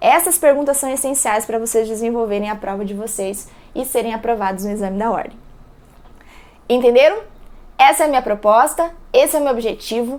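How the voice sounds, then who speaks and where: A woman's high-pitched voice, fairly quick in pace, with ordinary pitch variation. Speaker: law professor. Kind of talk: lecture.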